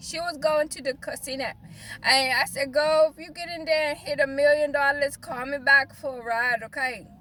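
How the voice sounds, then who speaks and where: Raising and projecting her voice, a woman with a high pitch speaks in an animated tone with lively intonation. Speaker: life, business and spiritual coach. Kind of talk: casual vlog monologue.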